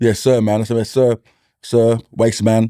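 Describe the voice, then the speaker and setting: On a dry, close recording with no echo, a man with a medium pitch and a dark, mellow tone speaks at a fairly slow pace. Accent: strong East London. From East London. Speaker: comedian and school mentor. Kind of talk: casual chat.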